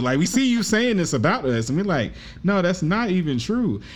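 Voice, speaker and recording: Pitch swings very widely here. It belongs to a man. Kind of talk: casual conversation. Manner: soft-spoken.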